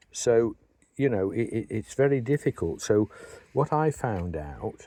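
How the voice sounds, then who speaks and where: A man with an English accent, a dark, mellow tone and very wide pitch swings, at a moderate pace, in a dry, close sound with no echo. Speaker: beekeeper and hive maker. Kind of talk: tutorial. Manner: halting, many fillers and repeats.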